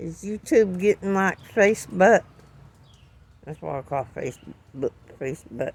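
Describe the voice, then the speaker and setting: A woman at medium pitch with very wide pitch swings, a fairly slow pace and long, frequent pauses. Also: big swings in loudness. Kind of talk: casual talk to camera.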